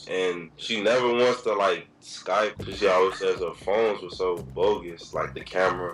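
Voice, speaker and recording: There is noticeable noise in the background. A man speaks with hardly any pauses. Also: moderate pace. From Illinois (Chicago area). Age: 18. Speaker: college student. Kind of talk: casual chat.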